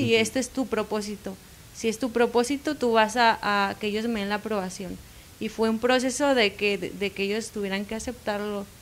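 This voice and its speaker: At a moderate pace, a woman talks with fairly even intonation in a fairly high pitch, an unremarkable speaking voice. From Mexico, Baja California Sur. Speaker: pastor's wife. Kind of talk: interview.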